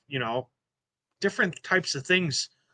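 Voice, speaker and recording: A man with a Quebec accent speaks in a bright, sharp tone with ordinary pitch variation. The background is quiet. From Quebec, Montreal. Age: 50s. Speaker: kayak fishing club ambassador. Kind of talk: casual interview chat. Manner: halting, repeats words.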